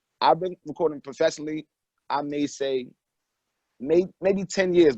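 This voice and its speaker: Dry and close with no echo, a man's fairly high-pitched voice has a dark, mellow tone and ordinary pitch variation, moving at a moderate pace with long, frequent pauses. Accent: New York. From New York (Mount Vernon), moved to North Carolina at 13. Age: 20s. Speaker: rapper. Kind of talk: interview.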